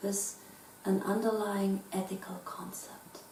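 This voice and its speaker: In a German accent, the speaker moves at a very slow pace with monotone, flat intonation, amid audible room echo and music in the background. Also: woman. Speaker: philosopher. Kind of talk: lecture. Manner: formal.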